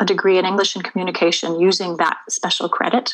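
A woman with an American accent speaks in a normal speaking voice at a medium pitch. Her intonation is fairly even and her pace moderate. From Maryland, US. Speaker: artist. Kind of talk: interview.

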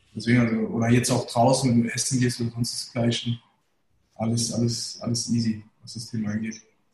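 A man speaks at a fairly quick pace and a medium pitch, his intonation monotone and flat. His voice is somewhat breathy, with big swings in loudness. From Germany, Hesse (Darmstadt area, Turkish family). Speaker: managing director, entrepreneur. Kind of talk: casual interview, storytelling. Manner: colloquial, filler-heavy.

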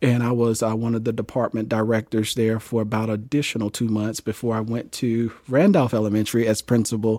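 A man with an American accent delivers a dark, mellow, monotone flat read with hardly any pauses on a very clean recording with a silent background. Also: medium pitch for a man, fairly quick pace. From US South, Jackson, Mississippi. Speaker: school district leader. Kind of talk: interview.

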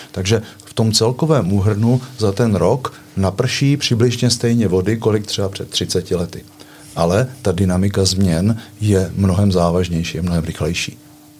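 A man's fairly low, fairly slow voice with ordinary pitch variation and big swings in loudness, over noticeable background noise. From eastern Bohemia, Czechia (Litomyšl). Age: 60s. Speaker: water management engineer. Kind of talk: casual chat.

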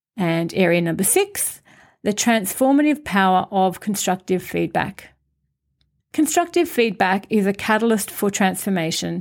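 A woman with a plain, everyday voice speaks at a moderate pace in a medium pitch, her intonation lively and her loudness very even, on a very clean recording with a silent background. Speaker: podcast host and Toastmasters member. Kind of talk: scripted podcast monologue about public speaking.

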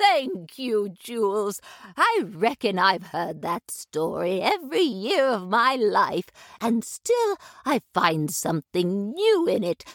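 A woman in a put-on character voice, fairly high in pitch with very wide pitch swings, at a fairly slow pace, in a dry, close sound with no echo. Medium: audio drama. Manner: warm, gentle.

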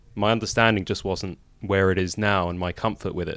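Speaking at a moderate pace with a London accent, a man with a very deep, low pitch comes through in a very clean recording with a silent background. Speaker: podcast guest. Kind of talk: interview.

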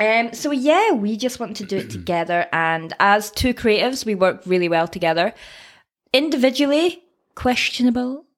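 A woman's fairly high-pitched voice with a Scottish accent and very wide pitch swings. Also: moderate pace. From Scotland. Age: 20s. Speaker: podcast co-host and personal trainer. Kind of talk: casual chat. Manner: animated.

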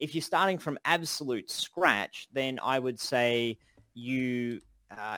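With an Australian accent, the speaker goes at a fairly slow pace with ordinary pitch variation. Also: man. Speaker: game development course instructor and podcast co-host. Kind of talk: casual chat, live Q&A. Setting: online voice call. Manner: animated.

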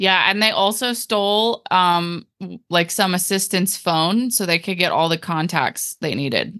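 A woman speaks at a fairly slow pace against a quiet background, her medium-pitched voice bright and sharp in tone, with ordinary pitch variation. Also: dry, close sound with no echo. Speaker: podcast host. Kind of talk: casual chat.

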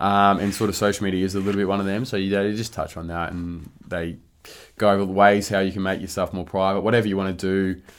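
Talking at a very fast pace, a man with a rural Victorian accent keeps a fairly low pitch and a monotone, flat intonation. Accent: Australian, rural Victorian. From rural Victoria, Australia (Warrnambool area). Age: 20s. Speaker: professional Australian football player. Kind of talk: casual interview chat.

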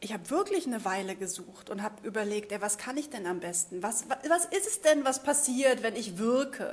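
A woman in an animated tone, at a moderate pace, with very wide pitch swings. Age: 30s. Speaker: spiritual coach. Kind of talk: livestream monologue.

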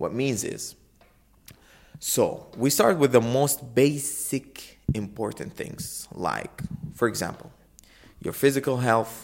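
Speaking at a very slow pace, a man uses a medium pitch with vocal fry. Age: 20s. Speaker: podcast host. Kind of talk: motivational monologue. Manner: informal, energetic.

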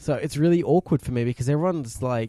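A man with an Australian accent speaks very fast in an animated tone at a fairly high pitch. The sound is dry and close with no echo, on a very clean recording with a silent background. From South Australia. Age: 20s. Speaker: podcast co-host. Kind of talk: casual chat.

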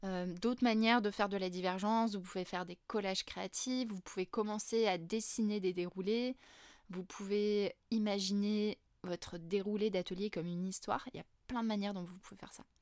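An unremarkable speaking voice, a woman's at medium pitch, moves at a moderate pace with fairly even intonation and big swings in loudness, on a very clean recording with a silent background and a dry, close sound with no echo. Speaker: facilitation trainer and podcaster. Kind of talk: solo educational podcast talk.

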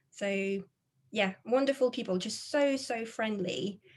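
Here a woman talks at a fairly slow pace and sounds somewhat breathy. Her pitch variation is ordinary. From France. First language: French. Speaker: social media consultant. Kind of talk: interview conversation.

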